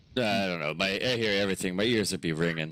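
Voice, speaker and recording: A man puts on a character voice with a very deep, low pitch. He speaks at a very fast pace. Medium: actual play. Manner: gruff, grumbling.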